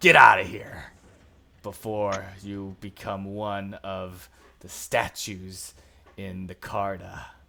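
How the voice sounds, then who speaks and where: In a put-on character voice, someone growls with a raspy, low-pitched sound at a very slow pace. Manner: snarling, threatening.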